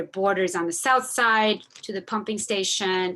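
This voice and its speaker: A woman's bright, sharp voice at a medium pitch, with fairly even intonation, against a quiet background. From Argentina. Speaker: community advocate. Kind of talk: presentation. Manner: many fillers, casual.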